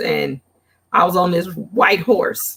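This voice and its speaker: With a Southern US accent, a woman speaks in a fairly low-pitched voice. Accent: Southern-tinged. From Gary, Indiana. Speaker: guest crafter, custom apparel maker. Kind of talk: casual chat.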